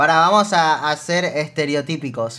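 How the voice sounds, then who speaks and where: A man with a Rioplatense accent speaks in an animated tone that sounds bright and sharp. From Argentina. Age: 20s. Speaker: streamer. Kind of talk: reaction stream commentary. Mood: amused, joking. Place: home room.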